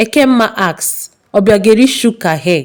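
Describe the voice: A woman talks at a moderate pace with a medium pitch. Her intonation is lively.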